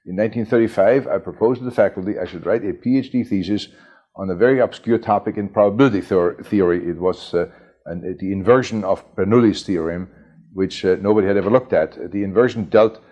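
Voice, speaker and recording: A man's fairly low voice with a German accent, ordinary pitch variation, and a very fast pace. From Germany (Bavaria, near Munich), born in Chicago. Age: 70s. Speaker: computer pioneer, mathematician. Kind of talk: oral history interview. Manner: hesitant, many fillers and repetitions.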